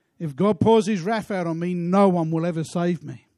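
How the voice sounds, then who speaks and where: The voice has a dark, mellow tone and ordinary pitch variation. Behind it is a quiet background. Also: man. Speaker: preacher. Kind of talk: sermon. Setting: church. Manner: passionate, exhortatory pulpit delivery with rhetorical questions and repetition; emphatic, earnest, building to worshipful prayer.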